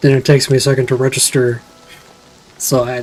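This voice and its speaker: Mumbling quietly at a fairly quick pace, a man with a medium pitch talks over music in the background. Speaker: vtuber streamer. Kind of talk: gameplay stream commentary. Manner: quiet, often mumbles; casual, halting.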